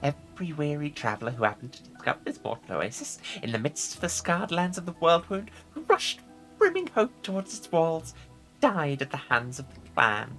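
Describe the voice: A woman puts on a character voice, low for a woman, with big pitch swings and a fairly bright tone. She keeps a moderate pace over faint music in the background.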